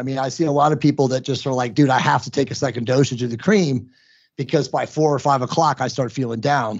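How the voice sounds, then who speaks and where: The pace runs very fast. It is a man talking. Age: 50s. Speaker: hormone optimization author and podcaster. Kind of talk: interview. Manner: fast talker; animated.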